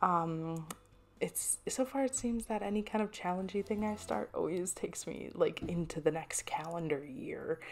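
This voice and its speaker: A soft-spoken woman at a medium pitch talks at a moderate pace with lively intonation. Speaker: artist and craft channel creator. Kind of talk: casual voiceover over drawing footage. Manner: rambling with frequent restarts.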